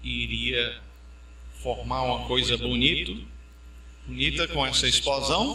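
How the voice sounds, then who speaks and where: A man speaks at a very slow pace, leaving long, frequent pauses. Audible room echo surrounds his voice. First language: English (speaking Portuguese). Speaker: pastor. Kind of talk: sermon.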